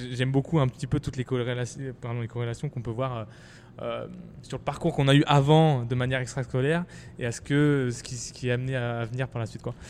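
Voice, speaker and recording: This man talks at a fairly quick pace. His medium-pitched voice keeps a fairly even intonation. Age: 20s. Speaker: podcast host and startup founder. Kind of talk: podcast interview. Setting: in a shop. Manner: hesitant, many fillers.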